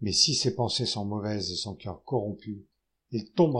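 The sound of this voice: Over a quiet background, someone reads aloud in an unforced voice.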